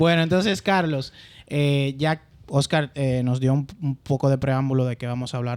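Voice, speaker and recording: In a very clean recording with a silent background, a man of medium pitch talks with fairly even intonation in a plain, everyday voice. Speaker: podcast host. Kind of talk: podcast interview.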